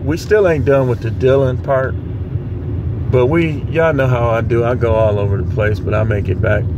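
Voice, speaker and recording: A man speaks at a fairly slow pace, the sound dry with no echo but with noticeable background noise. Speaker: vlogger. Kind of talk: casual vlog opinion rant. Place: car. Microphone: phone near.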